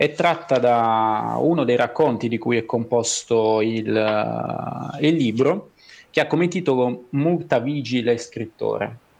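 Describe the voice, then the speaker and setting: The man speaks at a very slow pace in a medium pitch. His loudness stays very even. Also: ordinary pitch variation. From southern Italy, Basilicata. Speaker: writer and schoolteacher. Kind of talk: interview. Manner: halting, many repeated words.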